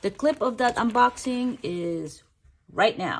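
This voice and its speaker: A somewhat breathy woman's voice at a fairly slow pace. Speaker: YouTuber, photocard collector. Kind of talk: casual chat; unboxing tutorial. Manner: whispering.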